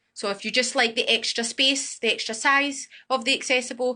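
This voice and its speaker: A woman's fairly high, bright, sharp voice with a Glasgow accent at a moderate pace. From Scotland, Glasgow. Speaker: student accommodation sales supervisor. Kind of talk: guided property tour with live Q&A.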